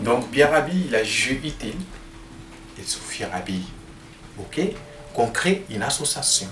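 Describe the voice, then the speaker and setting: With very wide pitch swings, a man speaks at a very slow pace with long, frequent pauses, amid audible room echo and noticeable background noise. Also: medium pitch for a man. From Niger, Tuareg from near Arlit. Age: young. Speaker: agroecology project founder. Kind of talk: interview. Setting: mobile home during storm. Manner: halting, frequent repetitions.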